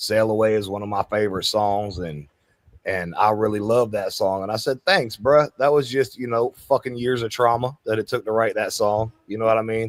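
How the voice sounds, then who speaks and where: Recorded with a dry, close sound and no echo, a man speaks at a moderate pace and medium pitch. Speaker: country rap artist. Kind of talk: casual interview chat.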